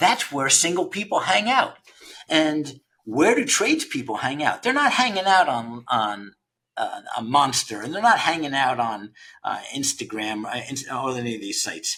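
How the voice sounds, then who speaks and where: A man's bright, sharp voice sits fairly high in pitch and moves through very wide pitch swings. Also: moderate pace. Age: 60s. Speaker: founder of a trades recruiting platform. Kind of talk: podcast interview. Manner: conversational, with frequent repetitions and fillers.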